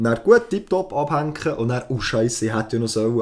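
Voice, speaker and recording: The speaker is a man with a medium pitch. He goes at a very fast pace. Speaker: podcast co-host. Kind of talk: casual chat.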